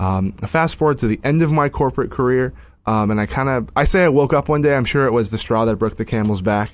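With an American accent, a man speaks at a fairly quick pace with ordinary pitch variation. He has an ordinary speaking voice, captured in a very clean recording with a silent background. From Northern California (Sacramento). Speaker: career coach. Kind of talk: interview.

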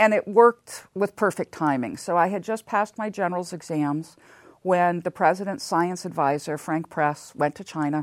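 A woman with an unremarkable speaking voice talks at a moderate pace with ordinary pitch variation. The sound is dry and close with no echo, in a very clean recording with a silent background. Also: fairly low pitch for a woman. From Southern California. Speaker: seismologist. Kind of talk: interview.

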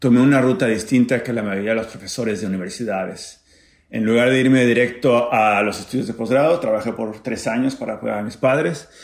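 Audible room echo surrounds a man speaking at a fairly quick pace and medium pitch. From Mexico, Acapulco. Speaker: physics professor. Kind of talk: personal testimony and science explanation. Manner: halting, with fillers and repetitions.

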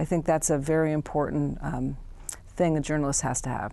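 Against a quiet background, a woman talks in an American accent. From San Francisco, California. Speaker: author and journalist. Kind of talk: interview. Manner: halting with many fillers.

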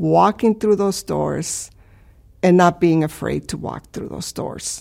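A woman talks in a Spanish accent at a fairly slow pace. The recording is very clean and the background silent. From Chicago, US (from Mexico as a child). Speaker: professor and cancer researcher. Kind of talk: personal career testimony. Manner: hesitant, many fillers.

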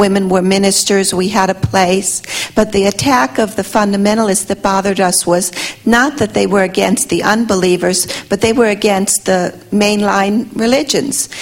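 Over noticeable background noise, a woman talks at a moderate pace and medium pitch with ordinary pitch variation. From Russia. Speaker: audience member asking a question. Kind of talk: audience question.

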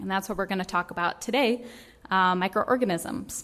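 A woman with an American accent and an unremarkable speaking voice talks at a fairly quick pace and medium pitch. Her pitch variation is ordinary, on a very clean recording with a silent background. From Vermont, US. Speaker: microbial ecologist. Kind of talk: lecture.

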